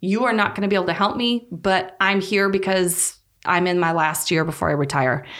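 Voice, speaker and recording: A woman speaks with an Upper Midwest accent. Her pace is moderate. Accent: Upper Midwest American. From North Dakota. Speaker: physical therapist. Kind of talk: casual interview.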